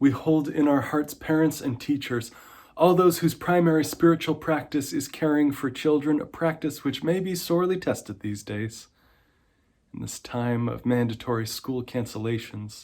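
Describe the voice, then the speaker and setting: On a very clean recording with a silent background, a man with a plain, everyday voice speaks at a moderate pace, fairly high in pitch, with ordinary pitch variation. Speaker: minister leading a prayer in an online church service. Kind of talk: worship prayer / pastoral reading. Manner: calm, gentle.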